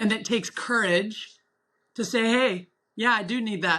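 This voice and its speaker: A woman with an American accent, passionate in tone, bright and sharp, her intonation fairly even. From US West. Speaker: mental performance coach. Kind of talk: casual interview chat. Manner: halting, words twist.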